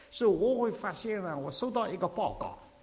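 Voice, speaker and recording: A man is speaking. Room echo is audible around him. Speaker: visiting preacher. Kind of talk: sermon.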